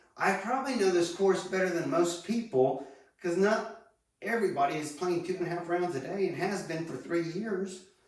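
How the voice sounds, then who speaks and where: At a moderate pace, a man speaks with a high pitch and ordinary pitch variation. Audible room echo surrounds his voice. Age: 60s. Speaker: golf instructor. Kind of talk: casual monologue tutorial. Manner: conversational, rambling.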